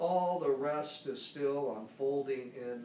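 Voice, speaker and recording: The speaker goes at a very slow pace with ordinary pitch variation. Room echo is audible, along with light background noise. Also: man. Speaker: poetry reader. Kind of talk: poetry reading. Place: home room. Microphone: camera far.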